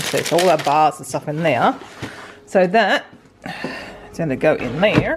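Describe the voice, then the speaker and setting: With an Australian accent and a very deep, low pitch, a woman speaks at a fairly slow pace with lively intonation and big swings in loudness over noticeable background noise. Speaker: stay-at-home mum, vlogger. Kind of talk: casual talk to camera.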